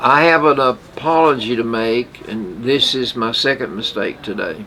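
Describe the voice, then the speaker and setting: Against noticeable background noise, a man speaks at a fairly slow pace. His pitch is medium, with ordinary variation. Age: 80s+. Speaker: radio show co-host. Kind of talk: casual chat. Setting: radio studio.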